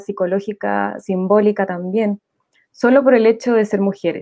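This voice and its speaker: At a moderate pace, a woman speaks in a plain, everyday voice, fairly high in pitch and with fairly even intonation. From Santiago, Chile. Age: 30s. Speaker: nurse, graduate student and political candidate. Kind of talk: panel discussion.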